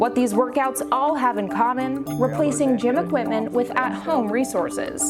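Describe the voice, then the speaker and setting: With an American accent, a woman talks at a moderate pace and very even loudness while music plays in the background. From Los Angeles, California. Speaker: TV news anchor and reporter. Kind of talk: broadcast news anchor and reporter reel.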